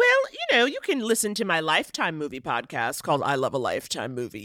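A woman speaks with an American accent. There is noticeable background noise. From New York City (Harlem). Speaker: comedian and TV writer. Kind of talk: casual chat.

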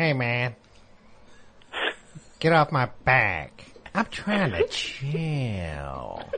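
A man's put-on character voice at medium pitch, very slow, with long, frequent pauses. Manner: laid-back, annoyed.

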